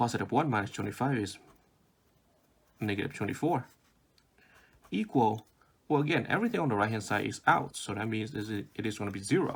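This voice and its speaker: A fairly quick pace in a non-native accent, broken by long, frequent pauses, with ordinary pitch variation. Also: man, medium pitch for a man. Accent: non-native, foreign. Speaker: math tutor. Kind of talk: math tutorial explanation.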